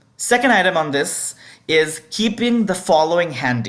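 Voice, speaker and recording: This woman has a fairly low pitch and lively intonation. She speaks with a non-native accent. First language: not English. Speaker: debate adjudicator. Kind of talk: instructional video.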